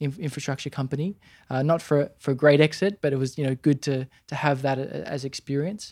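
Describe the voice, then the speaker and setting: On a very clean recording with a silent background, a man with a fairly high pitch talks at a fairly quick pace with fairly even intonation, in a dry, close sound with no echo. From Australia, Sydney. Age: 30s. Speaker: entrepreneur. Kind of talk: interview. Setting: in a warehouse. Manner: halting.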